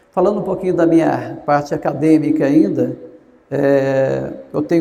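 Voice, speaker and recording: Against audible room echo, a man with a fairly high pitch speaks at a moderate pace. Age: 60s. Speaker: gerontologist. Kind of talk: lecture. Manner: conversational.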